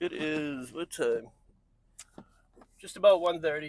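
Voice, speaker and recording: A man mumbles with an American accent. His pace is moderate. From New England. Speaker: vlogger. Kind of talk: casual vlog. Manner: mumbling; rambling.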